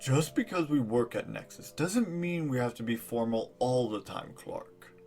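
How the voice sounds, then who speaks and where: In a put-on character voice, a man talks at a moderate pace and medium pitch with hardly any pauses. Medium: audio drama.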